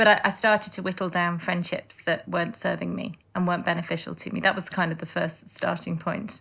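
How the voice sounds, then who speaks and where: A woman with a slight northern English accent speaks at a fairly low pitch with vocal fry, a bright, sharp tone, fairly even intonation and hardly any pauses, on a very clean recording with a silent background. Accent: slight northern English twang. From northern England. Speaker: lawyer turned life coach. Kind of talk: interview. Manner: halting, many repeated words.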